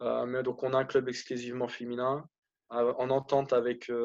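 Speaking at a moderate pace, a man keeps a medium pitch and a monotone, flat intonation. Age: 30s. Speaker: handball coach. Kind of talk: interview. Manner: hesitant, many fillers.

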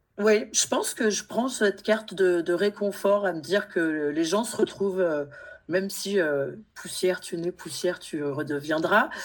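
Using an unremarkable speaking voice, a woman speaks at a fairly slow pace and medium pitch with ordinary pitch variation. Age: 40s. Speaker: guest sharing personal grief story. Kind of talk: testimony.

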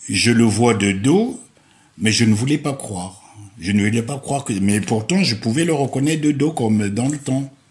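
Somewhat breathy, a man talks at a medium pitch and moderate pace with lively intonation. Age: 70s. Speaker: retiree. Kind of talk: interview. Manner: halting.

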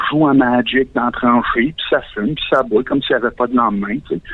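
A man talks at a moderate pace in a Quebec accent. Noticeable background noise runs underneath. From Quebec, Valleyfield. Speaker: caller. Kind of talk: comedic call-in monologue. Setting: phone call.

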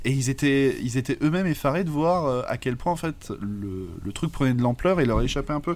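On a very clean recording with a silent background, a man with an ordinary speaking voice talks at a moderate pace and fairly high pitch. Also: lively intonation. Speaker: comics podcast co-host. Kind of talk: casual chat.

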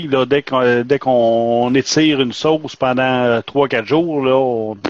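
A man with medium pitch and ordinary pitch variation has an unremarkable speaking voice. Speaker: podcast co-host. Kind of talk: casual chat.

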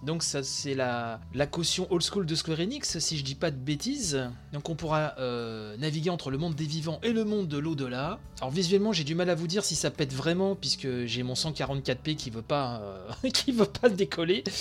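Music plays behind a man whose fairly high pitch carries lively intonation at a moderate pace. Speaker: video game news podcaster. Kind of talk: live commentary. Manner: slurred articulation.

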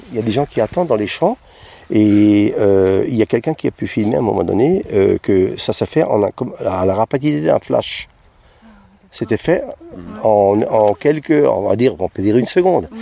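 At a moderate pace, a man of medium pitch speaks with very wide pitch swings and long, frequent pauses, in a dry, close sound with no echo. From southern Alsace. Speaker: visitor at a crop circle. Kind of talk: vox pop interview. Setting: outdoors in a wheat field.

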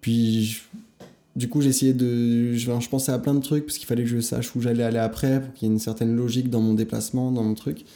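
Speaking fairly quickly at a medium pitch, a man uses a dark, mellow tone with monotone, flat intonation. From Paris suburbs, France. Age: 20s. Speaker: journalist. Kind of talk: casual interview. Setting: indoor venue, art studio building.

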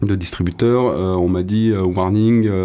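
He is a man with a fairly low pitch and ordinary pitch variation. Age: 30s. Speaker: BMX rider and musician. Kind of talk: casual interview.

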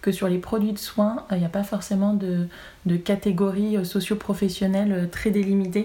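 A woman's somewhat breathy, dark, mellow voice at a medium pitch, moderate pace and monotone, flat intonation. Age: 20s. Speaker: cannabis cosmetics brand representative. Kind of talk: interview.

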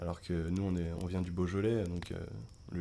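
Very deep and low in pitch, this man's voice has a dark, mellow tone and a monotone, flat intonation. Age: 20s. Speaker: children's activity leader. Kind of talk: travel storytelling. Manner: halting, many fillers and repetitions.

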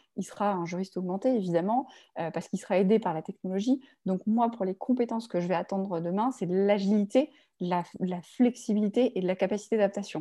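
Over a quiet background, a woman talks at a very fast pace in a medium pitch, with a dark, mellow tone and ordinary pitch variation. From Paris suburbs, France. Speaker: legal recruitment firm founder, former lawyer. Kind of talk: interview. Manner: halting, many fillers and repetitions.

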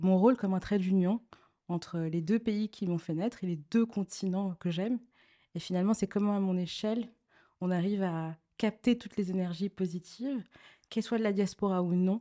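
Her voice sits at a medium pitch with a dark, mellow tone, and she keeps a moderate pace and fairly even intonation. The sound is dry and close with no echo, on a very clean recording with a silent background. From Togo, Lomé. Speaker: association co-founder. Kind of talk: interview.

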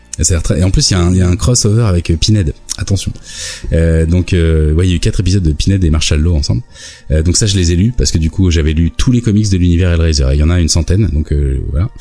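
A man speaks at a very fast pace in a very deep, low pitch, with ordinary pitch variation, very even loudness and noticeable background noise. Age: 40s. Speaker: YouTube video maker. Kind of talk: casual chat.

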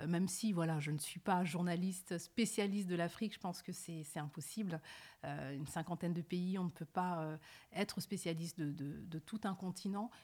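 In a dark, mellow and somewhat breathy voice at a fairly low pitch, a woman speaks at a moderate pace with fairly even intonation on a very clean recording with a silent background. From France, Paris suburbs (Évry-Courcouronne). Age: 30s. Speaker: journalist. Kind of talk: interview. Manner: hesitant, frequent repetitions.

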